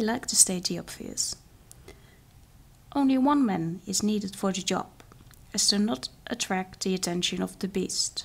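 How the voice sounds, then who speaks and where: Soft-spoken, a woman talks at a medium pitch with ordinary pitch variation and some vocal fry. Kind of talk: fairytale story reading.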